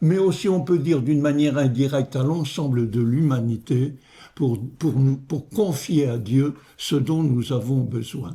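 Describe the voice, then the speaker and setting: Very slow and somewhat breathy, a man's voice sits at a fairly high pitch with a dark, mellow tone and ordinary pitch variation. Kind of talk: homily-style meditation. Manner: hesitant, with fillers and repetitions.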